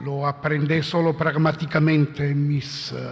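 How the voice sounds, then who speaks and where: A fairly high-pitched man in an Italian accent, very slow and monotone with flat intonation, over noticeable background noise. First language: Italian (speaking Spanish). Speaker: philosopher. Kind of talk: conference talk. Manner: halting.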